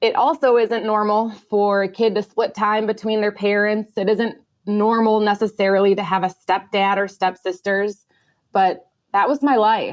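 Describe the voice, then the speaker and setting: A woman speaks at a moderate pace in a Midwestern accent. Her intonation is monotone and flat, and her loudness stays very even. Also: medium pitch for a woman, very clean recording, silent background. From US Midwest, Minnesota. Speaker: air force pilot. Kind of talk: testimony.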